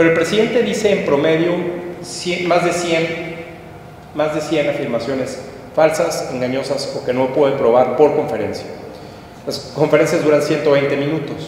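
A man with a fairly high pitch speaks at a moderate pace, with ordinary pitch variation and long, frequent pauses. Strong room echo and light background noise fill the recording. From Mexico. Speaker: political analyst. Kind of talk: public talk. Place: hall.

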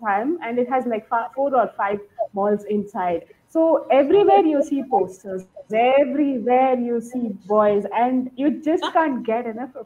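Fairly slow delivery with lively intonation. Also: woman. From India, Bangalore; India. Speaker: podcast listener. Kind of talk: casual chat. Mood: enthusiastic, friendly. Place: home room. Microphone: video call.

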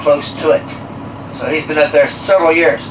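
A moderate pace and fairly even intonation over noticeable background noise. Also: man. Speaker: tour guide. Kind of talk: guided tour commentary. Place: bus.

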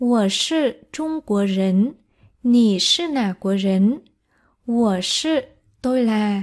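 Very slow, lively speech with long, frequent pauses, on a very clean recording with a silent background. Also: woman, fairly high pitch for a woman. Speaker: Chinese language teacher. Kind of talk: tutorial.

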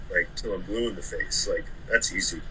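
This man speaks with an American accent at a moderate pace. Light background noise is present. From Oklahoma City. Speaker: moving company owner, former Marine. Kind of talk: casual interview chat. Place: home room. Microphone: video call.

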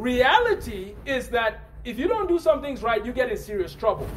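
There is noticeable background noise. Over it, a man speaks at a moderate pace. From Nigeria. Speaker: preacher. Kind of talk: sermon.

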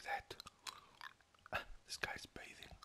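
A man whispers. His voice stays at a whisper throughout. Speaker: gamer. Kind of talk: ASMR gaming commentary. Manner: whispered, soft-spoken.

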